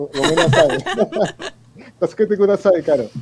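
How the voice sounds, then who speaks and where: A man with a Spanish accent talks at a moderate pace with ordinary pitch variation. Noticeable background noise is present. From Argentina, Buenos Aires. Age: 40s. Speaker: musician and physician. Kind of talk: interview. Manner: halting.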